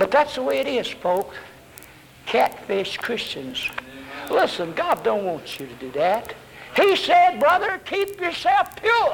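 A man with a strong Southern US accent speaks at a very slow pace over noticeable background noise. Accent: Southern US, fairly strong. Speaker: Baptist preacher. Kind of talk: 1970s Baptist sermon, evangelistic preaching to a congregation. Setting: church with congregation. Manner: animated, fiery, exhorting with call-and-response; folksy, humorous, uses vivid fish illustrations.

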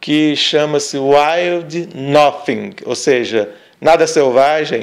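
This man's voice is fairly high-pitched, with ordinary pitch variation. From northern Minas Gerais, Brazil. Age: 40s. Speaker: podcast co-host, father. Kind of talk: casual chat.

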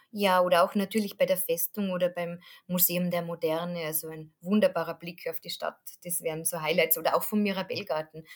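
Talking at a fairly quick pace, a woman keeps a monotone, flat intonation in a fairly low voice while her loudness swings widely. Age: 40s. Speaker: tour guide. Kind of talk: interview about travel tips.

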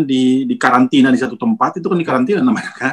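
Talking at a fairly quick pace, a man with a fairly high voice makes very wide pitch swings. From Manado, North Sulawesi, Indonesia. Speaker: basketball coach. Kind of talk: casual interview.

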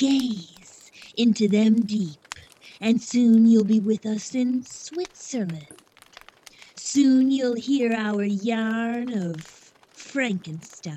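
A female-sounding voice performs a put-on character voice at a fairly high pitch. The pace is very slow. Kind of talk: 1930s horror radio host. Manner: cackling, relishing the spooky tale.

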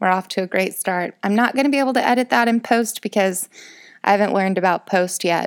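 A woman speaks with an American accent at a medium pitch and a fairly quick pace. Her pitch varies in an ordinary way, and the recording is very clean with a silent background. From rural Illinois, US Midwest. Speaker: podcaster. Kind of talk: casual monologue. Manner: rambling with fillers.

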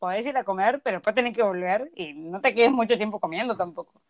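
Lively in intonation, a woman with a plain, everyday voice speaks at a moderate pace and medium pitch, in a dry, close sound with no echo. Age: 20s. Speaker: podcast co-host. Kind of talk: casual chat.

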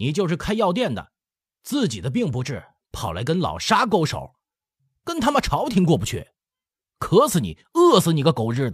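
In a put-on character voice, a man speaks high and shrill at a moderate pace, leaving long, frequent pauses. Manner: angry, cursing.

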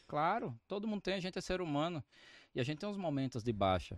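A man's voice swings very widely in pitch. The recording is very clean with a silent background and a dry, close sound with no echo. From Brazilian Northeast, Arapiraca (Alagoas). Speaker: author, mentor and entrepreneur. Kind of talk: casual interview chat.

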